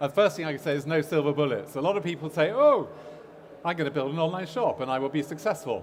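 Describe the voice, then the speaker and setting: Noticeable background noise sits behind a man talking at a very fast pace. His pitch varies in an ordinary way. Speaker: e-commerce agency owner, conference speaker. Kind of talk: conference talk. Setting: stage with audience. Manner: halting, many fillers.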